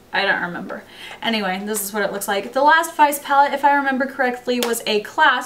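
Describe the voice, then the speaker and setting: A woman's high-pitched voice with ordinary pitch variation and audible room echo. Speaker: beauty vlogger. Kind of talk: product review. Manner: casual, chatty.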